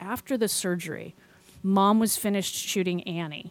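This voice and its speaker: A woman speaks at a moderate pace with a medium pitch. It is an ordinary speaking voice. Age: 50s. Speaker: podcast host. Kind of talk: casual chat.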